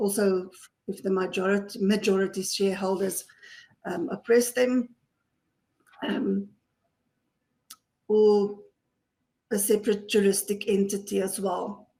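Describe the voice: In a put-on character voice that is hoarse, the speaker goes at a moderate pace with monotone, flat intonation and long, frequent pauses. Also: woman, medium pitch for a woman.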